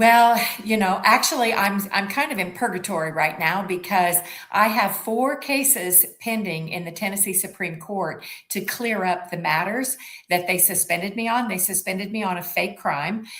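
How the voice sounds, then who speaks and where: This is a woman with a medium pitch. Audible room echo surrounds her voice. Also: ordinary pitch variation, moderate pace. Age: 70s. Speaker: suspended family lawyer and parental rights advocate. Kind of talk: interview. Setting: live show.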